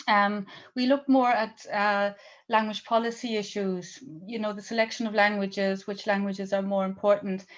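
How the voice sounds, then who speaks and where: This woman's moderate pace stands out in a quiet background. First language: German-English bilingual. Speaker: language researcher and presenter. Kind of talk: seminar Q&A answer.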